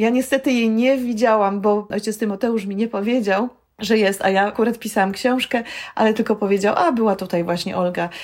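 A woman speaks in a normal speaking voice at medium pitch. Her pace is moderate, with ordinary pitch variation. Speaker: film director and storytelling trainer. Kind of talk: interview.

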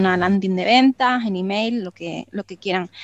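Recorded dry and close with no echo, a woman with an Andalusian accent talks at a moderate pace with ordinary pitch variation. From Málaga, Andalusia, Spain. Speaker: copywriter. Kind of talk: interview. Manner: halting.

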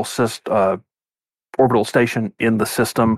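Recorded very cleanly against a silent background, a man speaks at a moderate pace with flat, monotone intonation, the sound dry and close with no echo. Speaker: co-host. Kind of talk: casual chat.

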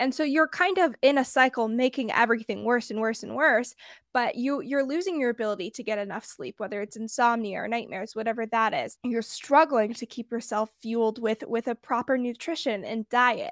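A woman with a normal speaking voice talks at a fairly quick pace with hardly any pauses, her fairly high pitch showing ordinary variation, in a very clean recording with a silent background and a dry, close sound with no echo. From US West Coast, Bay Area. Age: under 20, just graduated high school. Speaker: podcast host sharing mental health story. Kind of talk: interview, personal testimony.

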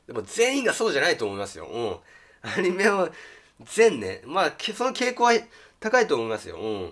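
Talking at a fairly quick pace, a man leaves long, frequent pauses, and his loudness swings widely. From rural Japan. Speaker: YouTuber. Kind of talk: casual monologue. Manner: hesitant with fillers.

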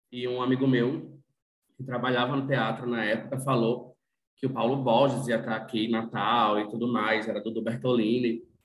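In a room with audible echo, a man speaks at a moderate pace and medium pitch with monotone, flat intonation. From Rio Grande do Norte, Brazil (Northeast). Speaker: journalist and fashion content creator. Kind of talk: casual chat.

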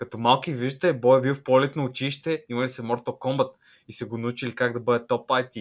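On a very clean recording with a silent background, a man at medium pitch uses a normal speaking voice, talking at a fairly quick pace with fairly even intonation. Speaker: podcast co-host. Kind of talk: casual chat.

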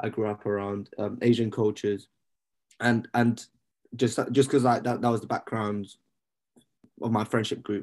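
A man in a London accent talks at a moderate pace with medium pitch, monotone and flat in intonation, leaving long, frequent pauses. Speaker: podcast co-host and student. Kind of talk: casual chat. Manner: casual, laid-back.

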